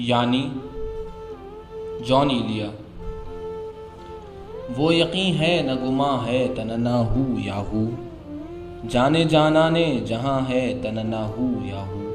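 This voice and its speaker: With music in the background, a man's voice sits at a medium pitch and shows ordinary pitch variation. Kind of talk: poetry reading. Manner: measured pacing, nuanced.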